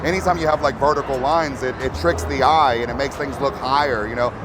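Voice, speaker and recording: Music plays in the background as a man with an American accent speaks at a very fast pace and a fairly high pitch. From Texas. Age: 40s. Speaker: lowrider builder. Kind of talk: interview. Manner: halting, many repeated words.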